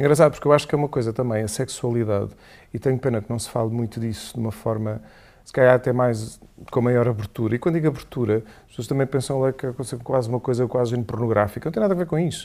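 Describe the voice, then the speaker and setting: Very fast speech from a man with a dark, mellow tone swings widely in loudness on a very clean recording with a silent background. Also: medium pitch for a man, ordinary pitch variation. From Algarve, Portugal (Portimão). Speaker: Jesuit priest, former flight attendant. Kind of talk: casual chat.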